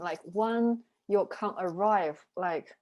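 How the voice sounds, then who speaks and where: In a very clean recording with a silent background, a woman with a Chinese accent speaks very slowly in a fairly high pitch. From China. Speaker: reading group co-leader. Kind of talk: casual discussion. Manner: halting.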